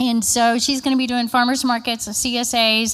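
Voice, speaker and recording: A loud, high-pitched woman's voice with an animated tone at a moderate pace. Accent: Kentucky. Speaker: state agriculture marketing presenter. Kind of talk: conference presentation. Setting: conference room with audience.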